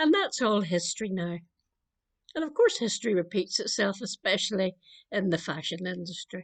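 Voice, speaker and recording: A woman speaks with a Northern Irish accent at a medium pitch, with ordinary pitch variation. The sound is dry and close with no echo, and the background is quiet. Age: 70s. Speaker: clergy member. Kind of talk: spoken meditation.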